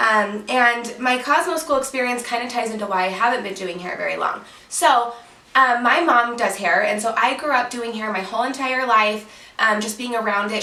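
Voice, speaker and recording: A woman speaks in an animated tone with ordinary pitch variation, amid audible room echo and noticeable background noise. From Utah. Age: 20s. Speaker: hairstylist and YouTuber. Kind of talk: casual Q&A vlog. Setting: at home, sitting on bed. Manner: chatty, animated.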